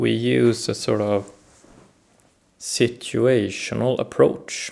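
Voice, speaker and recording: Speaking at a very slow pace, a man talks with a Swedish accent. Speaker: self-help video host. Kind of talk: reflective talk to camera. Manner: hesitant, many fillers.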